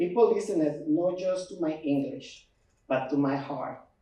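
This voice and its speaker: A man in an Ecuadorian accent, dark and mellow in tone, at a fairly slow pace. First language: Spanish. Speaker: immigrant storyteller. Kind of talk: personal testimony speech.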